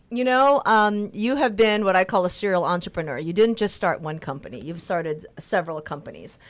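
On a very clean recording with a silent background, a woman speaks at a fairly quick pace and medium pitch with hardly any pauses. Her intonation is lively, and it is a normal speaking voice. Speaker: radio host and business owner. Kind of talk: radio talk show. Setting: radio studio. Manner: upbeat.

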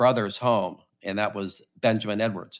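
In a very clean recording with a silent background, a man with an ordinary speaking voice talks at a fairly slow pace, with fairly low pitch and fairly even intonation. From St. Louis, Missouri. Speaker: company CEO. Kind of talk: casual interview.

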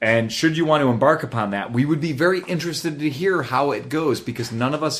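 Noticeable noise sits in the background. A man talks over it, his pitch varying in an ordinary way. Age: 30s. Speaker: motorcycle podcast host. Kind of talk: casual chat. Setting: studio.

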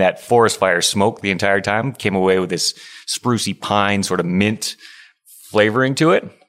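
In a very clean recording with a silent background, a man uses a plain, everyday voice at a fairly low pitch, with ordinary pitch variation and a moderate pace. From Alberta, Canada (Stony Plain). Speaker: head brewer. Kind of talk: casual interview chat. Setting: on location at a brewery.

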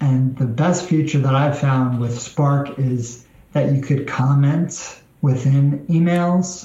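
A man with an American accent speaks very slowly at a medium pitch. There is audible room echo and noticeable background noise. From New York. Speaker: executive assistant. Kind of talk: interview.

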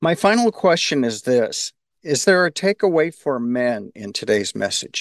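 A man's fairly high voice with very wide pitch swings, dry and close with no echo. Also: moderate pace. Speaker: podcast co-host, organization president.

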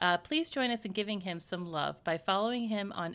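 A woman's plain, everyday voice at medium pitch with lively intonation, on a very clean recording with a silent background. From US South, raised in several places. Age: 30s. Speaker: podcast co-host. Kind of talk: casual chat.

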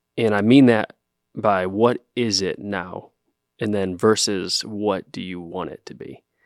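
A man with an American accent speaks at a fairly slow pace in a fairly low pitch, with ordinary pitch variation and big swings in loudness, on a very clean recording with a silent background and a dry, close sound with no echo. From Ohio. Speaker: podcast host. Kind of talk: casual interview conversation. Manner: hesitant, filler-heavy.

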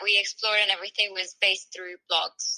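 A woman's bright, sharp voice at medium pitch, in a dry, close sound with no echo. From South America. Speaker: travel blogger. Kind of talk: casual interview.

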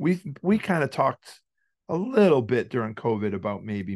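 Against a quiet background, a man with a Massachusetts accent speaks with ordinary pitch variation. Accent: Massachusetts New England. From Worcester, Massachusetts. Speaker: hardcore band singer and poker player. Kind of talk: casual interview, storytelling.

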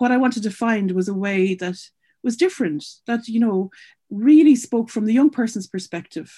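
A somewhat breathy woman with an Irish accent, medium pitch and a dark, mellow tone, lively intonation at a moderate pace, quiet background. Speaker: charity founder and CEO. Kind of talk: interview.

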